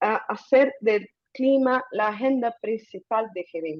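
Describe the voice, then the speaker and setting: A woman speaks with a Portuguese accent. Her pitch is fairly high, with ordinary variation. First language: Portuguese (speaking Spanish). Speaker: climate communication advocate. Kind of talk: webinar presentation.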